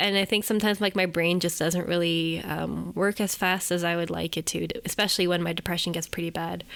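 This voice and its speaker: Over a very clean recording with a silent background, a woman with a fairly low pitch and vocal fry talks at a fairly quick pace in a flat monotone, hardly pausing. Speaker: podcast host and editor. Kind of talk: casual chat.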